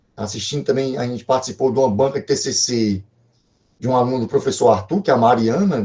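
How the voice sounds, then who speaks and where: A man speaks at a very fast pace, his tone dark and mellow. The voice is somewhat breathy, with ordinary pitch variation. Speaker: professor, computer networks researcher. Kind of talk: online lecture. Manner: hesitant, many fillers.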